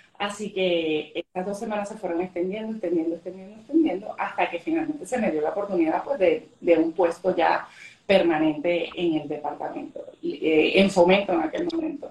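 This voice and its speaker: Over noticeable background noise, a woman with a medium-pitched voice talks at a moderate pace with hardly any pauses and lively intonation. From Venezuela. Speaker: government economic development official. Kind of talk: interview on a live stream.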